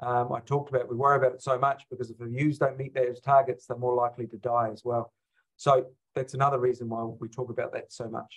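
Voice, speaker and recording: A man speaks very fast with a New Zealand accent, at a medium pitch and somewhat breathy. His intonation is monotone and flat, with big swings in loudness. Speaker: sheep husbandry professor. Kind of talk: webinar lecture.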